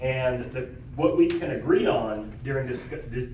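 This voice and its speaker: The voice belongs to a man with a medium pitch. There is noticeable background noise and audible room echo. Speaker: rabbi, forum moderator. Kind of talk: moderating a public panel forum. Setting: public forum with audience. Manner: many filler ums and uhs.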